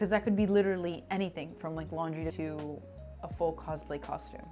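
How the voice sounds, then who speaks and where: A woman talking at a very fast pace, with music in the background. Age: 20s. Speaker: personal finance youtuber. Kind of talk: tutorial. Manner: casual and chatty.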